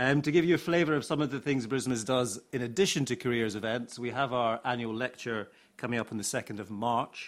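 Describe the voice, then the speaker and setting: With a British accent, the speaker goes at a fairly quick pace with hardly any pauses on a very clean recording with a silent background. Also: man, medium pitch for a man, ordinary pitch variation. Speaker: academic centre deputy director and panel chair. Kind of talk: panel event moderation. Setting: stage with audience.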